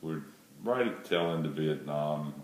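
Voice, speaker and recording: Amid noticeable background noise and audible room echo, a man speaks with a very deep, low pitch. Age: 60s. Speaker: airline pilot. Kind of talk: casting video self-introduction.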